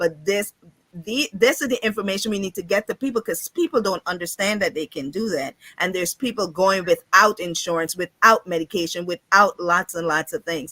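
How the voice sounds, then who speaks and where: With a bright, sharp, animated tone, a woman of medium pitch speaks fairly quickly with ordinary pitch variation, in a dry, close sound with no echo. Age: 50s. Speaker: insurance and financial coach. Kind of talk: casual interview on live show. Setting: livestream.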